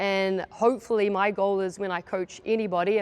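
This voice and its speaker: A woman speaks at a medium pitch with a slight New Zealand accent. Her intonation is flat and monotone against a quiet background. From New Zealand, Gisborne (east coast). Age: 30s. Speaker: basketball coach. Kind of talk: coaching clinic presentation. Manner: casual, many fillers.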